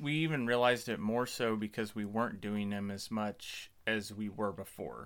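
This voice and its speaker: A man with a plain, everyday voice speaks at a moderate pace with ordinary pitch variation and hardly any pauses. The recording is very clean, with a silent background. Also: fairly low pitch for a man. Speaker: podcast host. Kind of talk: scripted intro then casual conversation.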